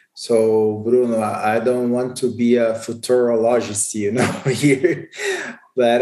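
Very slow speech in a Portuguese accent. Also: man. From Brazil. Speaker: insurance market executive. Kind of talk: interview. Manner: halting.

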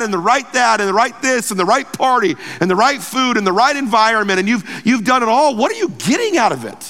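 Raised and projected, a man's voice has a bright, sharp tone. He goes at a fairly quick pace with ordinary pitch variation. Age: 40s. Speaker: pastor. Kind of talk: sermon.

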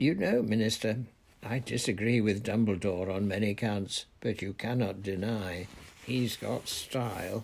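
A put-on character voice, slightly mellow with a slightly husky edge and vocal fry, at a fairly slow pace with ordinary pitch variation. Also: man, fairly low pitch for a man.

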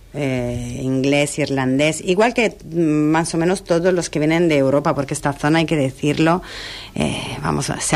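Speaking at a fairly slow pace, a woman with an Italian accent uses a very deep, low pitch with ordinary pitch variation. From Italy (Milan). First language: Italian (speaking Spanish). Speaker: hotel director. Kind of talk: radio interview. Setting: radio studio.

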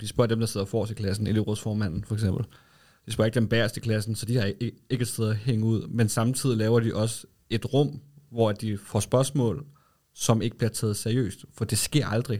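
A man talks at a moderate pace in a medium pitch, his intonation fairly even. The recording is very clean, with a silent background. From Denmark, Lolland. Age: 30s. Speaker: advertising agency co-founder. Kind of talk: casual interview. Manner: hesitant, many fillers.

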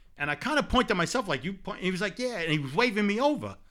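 A man with a New York accent, bright and sharp in tone, very fast, with lively intonation, in a very clean recording with a silent background. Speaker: sports podcast co-host. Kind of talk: casual sports talk. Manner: animated.

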